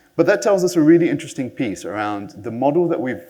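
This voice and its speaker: There is audible room echo around this man. His pitch swings very widely. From New Zealand. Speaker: conference speaker. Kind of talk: conference talk. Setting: stage with audience.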